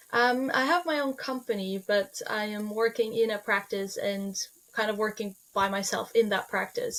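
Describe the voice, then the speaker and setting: A woman with a Norwegian accent, her pitch fairly high, at a moderate pace. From Norway. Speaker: holistic veterinarian. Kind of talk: podcast interview.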